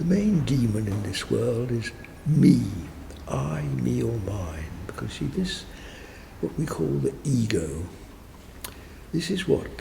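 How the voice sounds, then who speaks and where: A man speaks in a calm tone at a very slow pace, with long, frequent pauses and very wide pitch swings. Noticeable background noise is present. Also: fairly low pitch for a man. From England. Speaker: meditation teacher. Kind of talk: interview answer. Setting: church. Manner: slow, calm.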